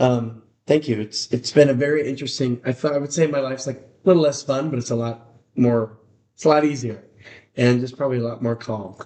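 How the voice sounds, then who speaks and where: Moving at a fairly quick pace, a man speaks at a medium pitch with fairly even intonation. His tone is dark and mellow. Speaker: singer-songwriter. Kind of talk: casual interview.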